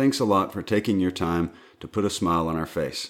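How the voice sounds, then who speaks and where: A man with a Southern US accent and a very deep, low pitch, ordinary pitch variation, a moderate pace, and a very clean recording with a silent background. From US South. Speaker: podcast co-host and sound engineer. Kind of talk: casual chat.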